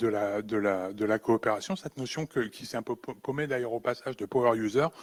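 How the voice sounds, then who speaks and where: This man talks at a moderate pace and a medium pitch. The recording is very clean with a silent background and a dry, close sound with no echo. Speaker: conference speaker on low-tech computing. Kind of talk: conference talk. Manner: halting, many repetitions.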